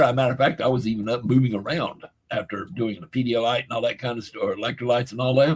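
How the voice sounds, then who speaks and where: A somewhat breathy man talking at a very fast pace. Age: 70s. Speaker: livestream host. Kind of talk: casual chat.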